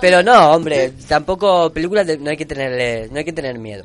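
A man's plain, everyday voice, fairly high in pitch, with lively intonation at a fairly quick pace. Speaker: radio host. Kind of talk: live radio talk with young participants.

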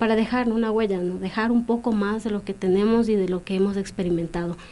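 Fairly quick speech from a woman with a fairly high pitch, a dark, mellow tone and fairly even intonation, over a quiet background. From Ecuadorian Andes, Kichwa community. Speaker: poet. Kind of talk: radio interview.

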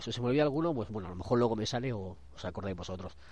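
This voice belongs to a man. He speaks with lively intonation. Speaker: podcast host. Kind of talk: casual chat. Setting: outdoors.

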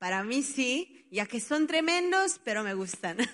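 A woman speaks at a very slow pace. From Italy. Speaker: children's ministry worker. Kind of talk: testimony.

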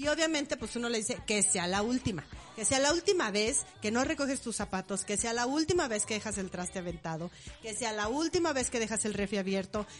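Fairly high-pitched woman, animated, with lively intonation at a fairly quick pace and noticeable background noise. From Mexico, Morelia. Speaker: podcast co-host. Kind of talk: casual chat.

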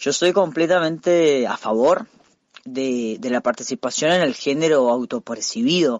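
This man has an unremarkable speaking voice. His pitch shows ordinary variation. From Costa Rica. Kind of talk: interview.

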